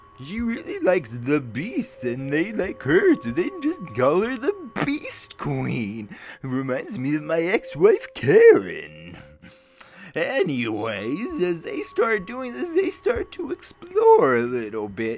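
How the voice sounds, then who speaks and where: A man does a put-on character voice at a fairly slow pace with clear music in the background. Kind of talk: game lore narration in character. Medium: read story. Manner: rambling, jokey.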